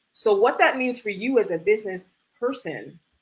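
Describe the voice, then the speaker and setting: A woman with a Canadian accent talks at a moderate pace. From Canada (Toronto), Jamaican immigrant parents. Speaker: e-commerce fulfillment business owner; guest. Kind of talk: livestream interview. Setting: video livestream. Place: home room. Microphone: webcam.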